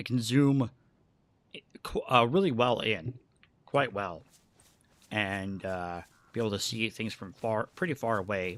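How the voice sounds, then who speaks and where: Mumbling at a fairly slow pace, a man speaks at a medium pitch with ordinary pitch variation and long, frequent pauses. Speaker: gaming streamer. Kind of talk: live gameplay commentary. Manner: halting.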